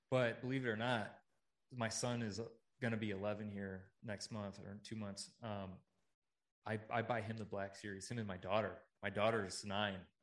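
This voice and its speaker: With an American accent, a man at fairly low pitch speaks in a monotone, flat way at a moderate pace, with long, frequent pauses. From US Midwest, Chicago area. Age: 30s. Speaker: podcaster. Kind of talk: casual chat. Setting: in person.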